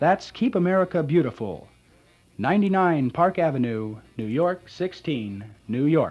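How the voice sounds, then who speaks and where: This man's fairly high voice swings very widely in pitch. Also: fairly slow pace. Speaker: radio announcer auditioning for a local station. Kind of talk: radio station identification, public service announcements and music back-announcement.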